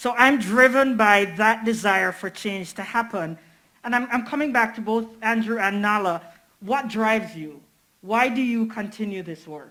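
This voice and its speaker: With a Jamaican accent, a woman talks at a moderate pace in a bright, sharp tone, her fairly high pitch showing ordinary variation and her loudness swinging widely. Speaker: panel moderator. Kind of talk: moderated panel.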